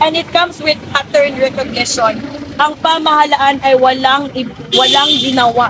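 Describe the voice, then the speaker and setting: A high-pitched woman at a fairly slow pace, with noticeable background noise. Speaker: anti-corruption activist. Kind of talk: protest speech. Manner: soft-spoken; code-switching Tagalog and English.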